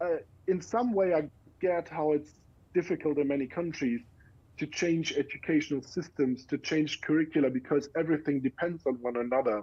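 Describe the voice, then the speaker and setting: With a German accent, a man speaks at a fairly quick pace in a fairly high voice with a dark, mellow tone, ordinary pitch variation and very even loudness, over a quiet background. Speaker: education researcher. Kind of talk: interview. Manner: halting.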